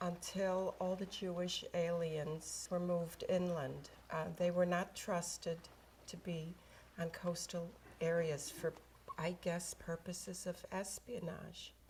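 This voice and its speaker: A woman speaks very slowly in a fairly low, somewhat breathy voice. Her intonation stays monotone and flat. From Netherlands. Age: 80s+. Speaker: Holocaust survivor. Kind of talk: testimony. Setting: video call.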